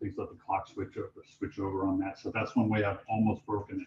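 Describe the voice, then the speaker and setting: His tone comes across dark and mellow. This man's pitch is medium. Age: 50s. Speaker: Salesforce architect giving a talk. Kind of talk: presentation at user group meetup. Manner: loud; hesitant, many fillers.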